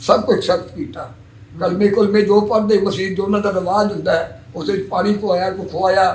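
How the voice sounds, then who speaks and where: Against noticeable background noise, a man with a high pitch speaks with fairly even intonation. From Punjab, Pakistan (Kasur district). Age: 80s+. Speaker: 1947 Partition migrant. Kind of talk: interview answer.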